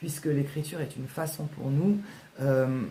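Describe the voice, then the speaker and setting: Very deep and low, a woman's somewhat breathy voice has a dark, mellow tone and fairly even intonation, with audible room echo. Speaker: author and writing workshop leader. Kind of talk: casual vlog talk. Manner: fast; hesitant, many fillers.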